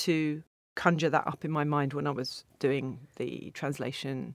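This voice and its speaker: A woman with a southern English accent, on a very clean recording with a silent background. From England, Stevenage (Hertfordshire). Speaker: literary translator. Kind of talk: interview. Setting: studio. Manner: hesitant, with repeated words.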